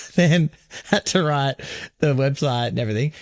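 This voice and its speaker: Fairly quick delivery with lively intonation over a very clean recording and silent background. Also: man. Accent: Australian. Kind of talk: casual podcast conversation.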